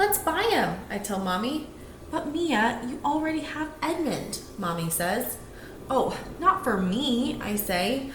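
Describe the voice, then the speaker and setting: With a high pitch and very wide swings in pitch, a woman talks against noticeable background noise. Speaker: teacher. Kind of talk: children's picture book read-aloud.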